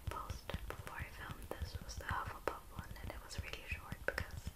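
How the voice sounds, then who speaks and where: A woman whispering at a moderate pace with hardly any pauses. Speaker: vlogger. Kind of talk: soft casual vlog chat. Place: home room.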